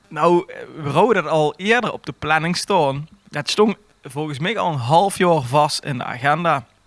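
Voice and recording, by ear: A man speaks at a moderate pace with ordinary pitch variation. His fairly high voice has a fairly bright tone.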